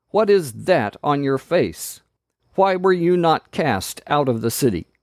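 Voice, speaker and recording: Using a put-on character voice, a man talks at a fairly slow pace and a fairly high pitch, with very wide pitch swings, in a dry, close sound with no echo. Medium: read story. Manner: imperious, menacing.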